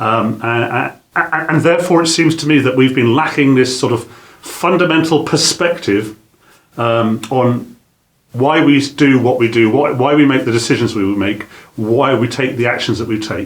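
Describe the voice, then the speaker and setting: He speaks with a British accent at a moderate pace. His pitch is medium for a man, with ordinary pitch variation. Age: 60s. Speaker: business trainer. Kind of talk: lecture. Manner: halting.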